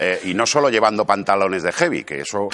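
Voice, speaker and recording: Lively intonation and vocal fry mark a man talking at a very fast pace. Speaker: comedian. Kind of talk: stand-up.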